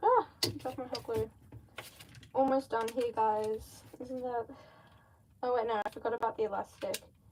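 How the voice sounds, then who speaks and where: A woman with a slight Australian accent speaks with long, frequent pauses over noticeable background noise. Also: fairly high pitch for a woman, moderate pace. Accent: Australian, slight (own view). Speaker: mask maker livestreamer. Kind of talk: casual livestream chat while crafting. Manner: animated.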